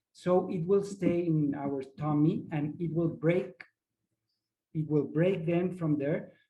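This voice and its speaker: A man speaks very slowly with a non-native accent. His pitch is fairly high, with ordinary pitch variation. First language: not English. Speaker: ayahuasca facilitator. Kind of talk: workshop presentation. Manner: halting, searching for words.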